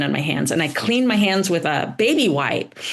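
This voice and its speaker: A woman with an American accent speaks at a medium pitch with lively intonation over noticeable background noise. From US South, North Carolina. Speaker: painter and art teacher. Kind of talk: interview. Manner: halting, many fillers.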